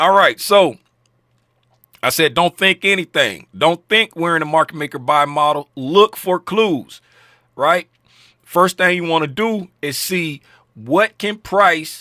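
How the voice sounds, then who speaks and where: A loud man speaks at a high pitch with a bright, sharp tone. He goes at a fairly slow pace, with long, frequent pauses. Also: dry, close sound with no echo. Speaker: trading educator. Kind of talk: market recap tutorial. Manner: casual, filler-heavy.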